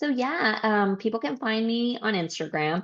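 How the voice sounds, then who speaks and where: The woman speaks at a fairly slow pace with ordinary pitch variation. She has a Spanish accent. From California and Mexico. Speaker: life coach. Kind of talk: podcast interview.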